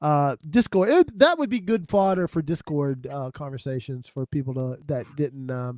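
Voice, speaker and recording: With hardly any pauses, a man with a normal speaking voice talks at a moderate pace, his fairly high pitch carrying lively intonation in a dry, close sound with no echo. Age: 60s. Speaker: music podcast panelist and record seller. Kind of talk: casual chat.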